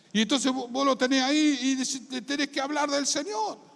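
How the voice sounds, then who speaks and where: A man with a Rioplatense accent talks in an extremely high pitch with an animated tone at a moderate pace. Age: 60s. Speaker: pastor. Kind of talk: sermon.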